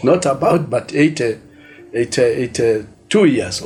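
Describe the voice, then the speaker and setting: Speech comes at a fairly slow pace. Music plays in the background. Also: man. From Kenya, Embu County. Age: 60s. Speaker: bishop. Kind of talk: testimony. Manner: halting.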